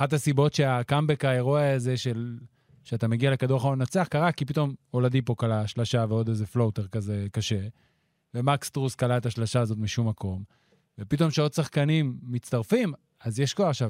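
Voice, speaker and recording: At a fairly quick pace, a man with an ordinary speaking voice and medium pitch shows ordinary pitch variation, recorded dry and close with no echo. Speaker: basketball analyst. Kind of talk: casual chat.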